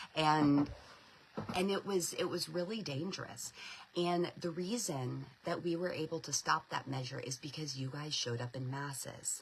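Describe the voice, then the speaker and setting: Over noticeable background noise, a woman with a very deep, low pitch speaks at a moderate pace. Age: 40s. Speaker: homeschool advocacy spokesperson. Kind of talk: live stream update and fundraising appeal. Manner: animated, repetitive filler words.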